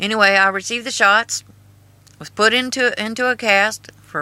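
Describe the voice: A woman's bright, sharp, clear and smooth voice with an American accent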